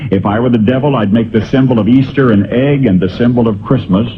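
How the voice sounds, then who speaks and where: There is noticeable noise behind this man as he talks at a medium speed. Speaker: radio broadcaster. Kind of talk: essay reading.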